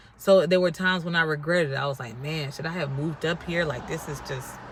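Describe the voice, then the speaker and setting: With an American accent, a woman speaks at a very deep, low pitch and fairly even intonation, with noticeable background noise and audible room echo. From North Carolina. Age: 30s. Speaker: vlogger. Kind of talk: casual vlog talk. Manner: casual, chatty.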